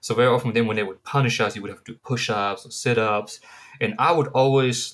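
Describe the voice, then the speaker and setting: A man with a German accent talks at a very fast pace. His loudness swings widely. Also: medium pitch for a man, fairly even intonation. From Germany. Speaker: counseling student. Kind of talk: class presentation. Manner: casual, hesitant with fillers.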